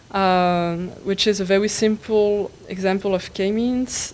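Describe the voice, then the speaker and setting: Intonation stays fairly even in this voice with a French accent. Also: woman. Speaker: tutorial instructor. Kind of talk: tutorial. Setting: conference room with live audience. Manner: halting, with many fillers.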